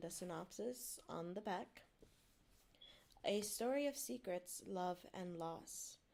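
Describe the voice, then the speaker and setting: A woman talks with a non-native accent and lively intonation. Her pace is very slow. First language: not English. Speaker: VTuber streamer. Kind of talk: casual chat; reading aloud. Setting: live stream.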